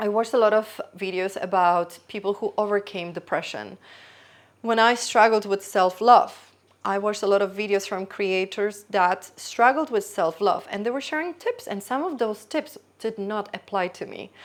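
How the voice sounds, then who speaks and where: A woman speaks with a Polish accent at a medium pitch. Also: ordinary pitch variation, moderate pace. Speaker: YouTuber. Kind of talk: casual vlog monologue. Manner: spontaneous, halting with self-corrections.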